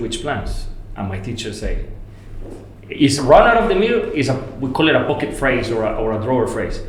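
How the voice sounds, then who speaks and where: Noticeable background noise and audible room echo surround a man speaking with a Spanish accent. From Colombia, Medellin. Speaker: landscape architect. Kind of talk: podcast interview. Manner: halting, repeats words.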